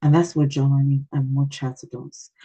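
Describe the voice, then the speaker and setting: A woman speaks in a very deep, low register, somewhat breathy, with a dark, mellow tone and a dry, close sound free of echo. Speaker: parenting coach giving a talk. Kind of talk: online workshop talk. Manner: hesitant, many fillers and repeats.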